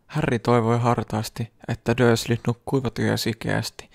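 Heard in a very clean recording with a silent background and a dry, close sound without echo, the voice is gentle and calm and moves at a fairly slow pace. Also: man. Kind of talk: bedtime story reading aloud. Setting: ASMR video, close microphone. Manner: slow, soft-spoken, calm and soothing narration; even, gentle pacing with a hushed, intimate tone.

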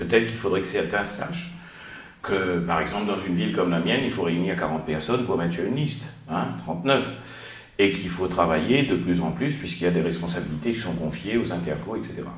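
A man talks at a fairly quick pace in a very deep, low pitch. Room echo is audible. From Réunion. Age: 50s. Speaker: mayor and politician; mayor, politician. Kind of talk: interview. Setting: studio. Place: office.

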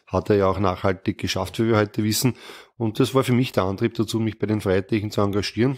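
This man's pitch sits fairly low. He talks at a very fast pace. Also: fairly even intonation. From Lower Austria. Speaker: politician. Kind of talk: interview answers.

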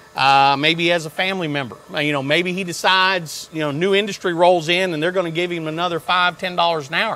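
Speaking at a fairly quick pace, a man with a high pitch keeps his intonation fairly even. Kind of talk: interview answer. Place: workshop.

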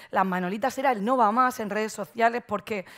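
A woman with a Murcian accent speaks at a fairly quick pace and fairly high pitch, her intonation fairly even against a quiet background. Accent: Murcian Spanish, drops consonants. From Murcia, Spain; Spain. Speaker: marketing agency owner, conference speaker; conference speaker. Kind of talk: conference talk. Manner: frequent fillers and hesitations; careful pronunciation. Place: stage. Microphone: headset.

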